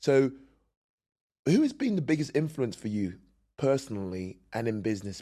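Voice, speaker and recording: Against a quiet background, a man talks with a British accent. His tone is dark and mellow, and his pace is moderate. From UK. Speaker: podcast host and bodybuilder. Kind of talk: interview conversation.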